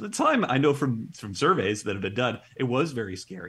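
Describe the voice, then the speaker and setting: Over a very clean recording with a silent background, a man talks at a fairly quick pace and medium pitch, his voice swinging very widely in pitch. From Ohio, US Midwest. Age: 30s. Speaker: experimental psychologist. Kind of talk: interview.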